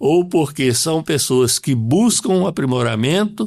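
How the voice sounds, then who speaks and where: The man's intonation is lively even though he speaks very slowly. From Brazil, Governador Valadares, Minas Gerais. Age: 70s. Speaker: school administrator. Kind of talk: interview.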